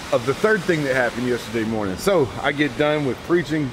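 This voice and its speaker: Noticeable background noise fills the clip. A man talks over it. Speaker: preacher vlogger. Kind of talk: casual vlog chat. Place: forest. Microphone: phone near.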